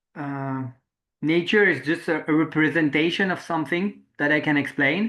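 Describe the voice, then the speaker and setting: Against a quiet background, a man with a French accent speaks in a fairly high voice with a bright, sharp tone. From France. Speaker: interviewer, permaculture practitioner. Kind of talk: reflective interview conversation. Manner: halting, searching for words.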